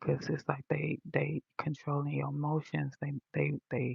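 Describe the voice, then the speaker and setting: A woman is whispering, soft-spoken. Her voice is somewhat breathy. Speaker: livestreamer. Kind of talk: casual livestream chat. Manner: quiet, sounds like whispering. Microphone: phone mic, volume all the way up.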